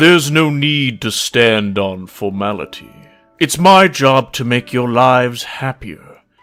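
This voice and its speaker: Using a put-on character voice, a man speaks fairly slowly at medium pitch in a relaxed tone. Faint music plays in the background. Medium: read story. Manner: dignified yet relaxed.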